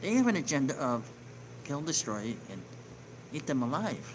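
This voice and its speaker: Quiet speech with very wide pitch swings sits over noticeable background noise. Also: man. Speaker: online news show host. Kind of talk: reading news article with commentary. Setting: home near neighbors. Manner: lowered voice, quieter; hesitant, filler words.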